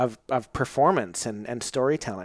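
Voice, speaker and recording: A man with an ordinary speaking voice talks at a moderate pace and medium pitch with ordinary pitch variation, recorded in a dry sound with no echo over a quiet background. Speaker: podcast host. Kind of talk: casual conversation. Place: home room.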